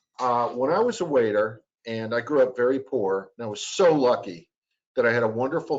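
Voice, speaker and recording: A man with an American accent, a plain, everyday voice, medium pitch and a fairly quick pace. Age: 60s. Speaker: sales trainer. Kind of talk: training talk.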